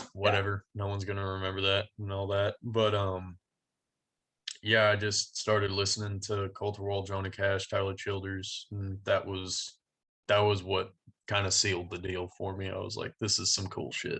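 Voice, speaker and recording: A man with a Texan accent, monotone, flat intonation and a bright, sharp tone, quiet background. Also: fairly low pitch for a man, moderate pace. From Texas (Denton County, Dallas-Fort Worth area). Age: 20s. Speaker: country singer-songwriter. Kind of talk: casual interview.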